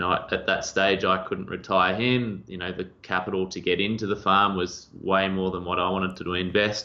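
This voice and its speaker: The speaker is a man with an Australian accent. He keeps his speech at a moderate pace. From rural Victoria, Australia. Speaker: agency owner. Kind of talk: podcast interview.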